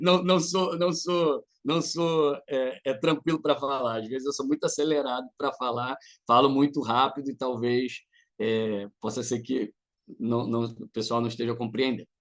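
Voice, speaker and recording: Against a quiet background, a man speaks fairly slowly at a medium pitch, his tone animated and his pitch varying in an ordinary way. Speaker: psychoanalyst and lecturer. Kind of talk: lecture. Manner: animated, halting with repetitions.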